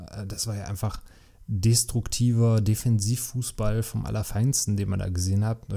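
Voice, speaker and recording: The man's fairly low voice is somewhat breathy, with a dark, mellow tone and fairly even intonation. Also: moderate pace. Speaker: podcast host and dad. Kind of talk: angry rant. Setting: home recording with a beer. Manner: frustrated, ranting; casual, chatty, sarcastic.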